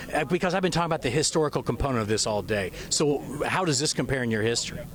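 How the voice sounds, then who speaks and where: Over noticeable background noise, a man with an American accent and a fairly high pitch talks very fast with lively intonation at a very even loudness. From United States. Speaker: TV news reporter. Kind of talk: live field report interviews. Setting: outdoors at launch site.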